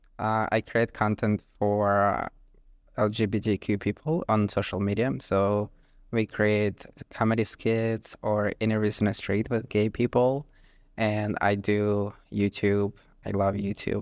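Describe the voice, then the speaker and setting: In a very clean recording with a silent background, a man speaks at a fairly low pitch and a fairly slow pace, his monotone, flat intonation and very even loudness captured in a dry, close sound with no echo. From Ukraine. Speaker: content creator and street interviewer. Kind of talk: casual interview. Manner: nervous.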